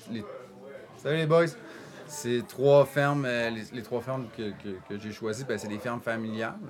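A man speaks at a fairly slow pace with a medium pitch and ordinary pitch variation. His loudness swings a lot, and there is noticeable background noise. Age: 40s. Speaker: coffee roaster. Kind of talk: casual chat. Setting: coffee shop workshop.

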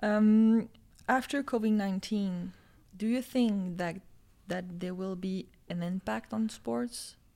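A woman talks at a fairly slow pace with a dark, mellow tone, leaving long, frequent pauses. The recording is very clean, with a silent background. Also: medium pitch for a woman, ordinary pitch variation. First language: French. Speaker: podcast host. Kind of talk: casual interview.

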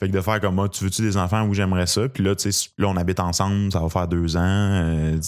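A man with a Quebec accent at a very deep, low pitch, fairly quick and monotone with flat intonation, very even in loudness, on a very clean recording with a silent background. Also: hardly any pauses. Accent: Québécois French. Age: 20s. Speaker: stand-up comedian. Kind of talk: casual interview chat.

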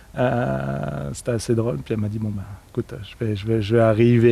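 A man speaks over noticeable background noise. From northern France. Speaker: sustainable development worker. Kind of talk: interview.

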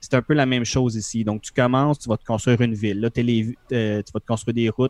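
A man at a medium pitch with a Quebec accent, in a dry, close sound with no echo. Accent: Québécois French. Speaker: podcast co-host, gamer. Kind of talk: casual chat, game review.

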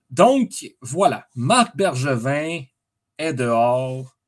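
This is a man speaking in a Quebec accent at medium pitch. The recording is very clean, with a silent background. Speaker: sports podcast host. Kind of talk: solo sports commentary monologue. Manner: hesitant, many fillers.

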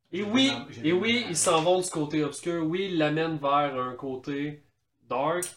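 This man speaks slowly-ish, with a fairly high pitch and a Quebec accent. His intonation is lively, and his loudness swings widely. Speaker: podcast co-host. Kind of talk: casual chat.

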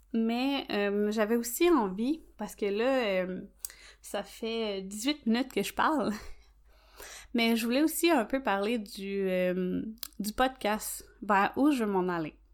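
In a Quebec accent, a woman with a fairly high pitch speaks at a very slow pace with ordinary pitch variation, on a very clean recording with a silent background. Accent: Québécois French. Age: 30s. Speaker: nail technician and podcast host. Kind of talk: solo podcast monologue. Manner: hesitant, many fillers.

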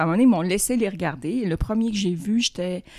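A woman at medium pitch, very fast, with lively intonation and a dark, mellow tone. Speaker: author. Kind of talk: casual chat.

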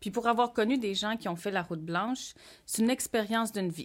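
In a very clean recording with a silent background, a woman talks in an ordinary speaking voice at a fairly high pitch. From Quebec North Shore, Innu community. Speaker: podcast co-host. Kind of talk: casual chat.

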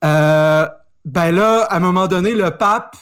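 A man's high voice with ordinary pitch variation on a very clean recording with a silent background. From Quebec, Saguenay. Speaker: historian. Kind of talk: casual chat.

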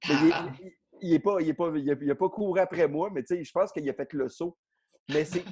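A man with a fairly high pitch talks at a moderate pace, with ordinary pitch variation and long, frequent pauses. The sound is dry and close, without echo. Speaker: comedian. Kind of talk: casual chat. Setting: video call from his garage. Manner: loud.

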